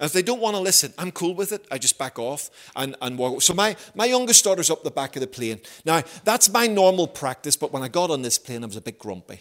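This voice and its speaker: A high-pitched man with a Belfast accent, talking at a very fast pace with very wide pitch swings. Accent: Belfast Northern Irish. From Northern Ireland, Belfast. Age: 50s. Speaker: visiting preacher. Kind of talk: sermon.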